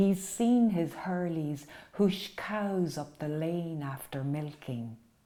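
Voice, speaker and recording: Speaking very slowly with an Irish accent, a woman uses a fairly low pitch, a dark, mellow tone and lively intonation. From Ireland, County Roscommon. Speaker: poet. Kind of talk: poetry reading. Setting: at home.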